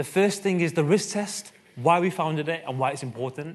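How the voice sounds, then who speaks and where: This speaker has a Mancunian accent. The intonation is lively. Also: man. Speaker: conference speaker, co-founder of a media research test. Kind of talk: conference talk. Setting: stage with audience. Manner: fast.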